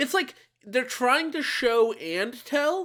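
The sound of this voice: Slow and marked by big pitch swings, the voice has a fairly bright tone in a very clean recording with a silent background.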